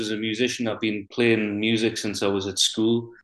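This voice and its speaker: A man with a strong Geordie accent speaks at a moderate pace in a medium pitch, his intonation monotone and flat. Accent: Geordie, thick. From North Shields, Tyneside, north-east England. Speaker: singer-songwriter. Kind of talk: casual interview chat.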